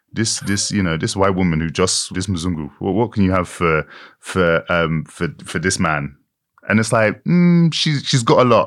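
This man speaks with a British accent in a very deep, low voice with ordinary pitch variation. The recording is very clean, with a silent background. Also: moderate pace. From Britain, Irish-Nigerian heritage. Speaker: author and actor. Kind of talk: interview.

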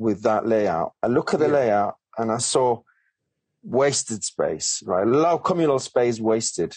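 In a Colombian accent, a man speaks at a moderate pace with lively intonation. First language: Spanish. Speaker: property developer and author. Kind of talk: podcast interview.

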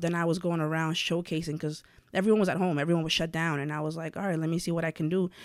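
In a very clean recording with a silent background, a woman with a New York accent speaks very fast at a fairly low pitch in a monotone, flat intonation. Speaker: blogger and content creator. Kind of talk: casual interview.

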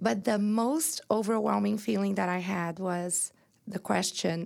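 A woman speaks with a Brazilian accent at a medium pitch. Her pace is very slow. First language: Portuguese. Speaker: entrepreneur and inspirational speaker. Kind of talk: personal testimony in interview. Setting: studio.

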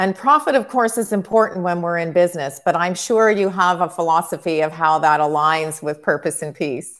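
A woman talks in a normal speaking voice at a fairly low pitch. Her pace is fairly quick with hardly any pauses and lively intonation. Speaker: interviewer host. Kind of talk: interview. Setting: video call.

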